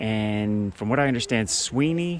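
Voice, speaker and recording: Noticeable background noise sits behind a man with a fairly low pitch. He talks at a moderate pace with lively intonation. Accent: American. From Philadelphia, US. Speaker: history vlogger. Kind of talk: casual vlog narration outdoors. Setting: outdoors on a trail. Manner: hesitant, filler words.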